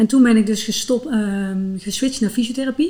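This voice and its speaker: A woman talks at a fairly high pitch, her tone dark, mellow and somewhat breathy. Her pitch varies in an ordinary way. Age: 40s. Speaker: physiotherapist and runner. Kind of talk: interview.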